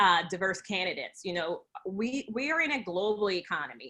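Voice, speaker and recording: A woman speaks with a New Jersey accent at a medium pitch. Her tone is bright and sharp, and her pace is moderate. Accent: New Jersey American. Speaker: talent acquisition expert. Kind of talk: webinar Q&A.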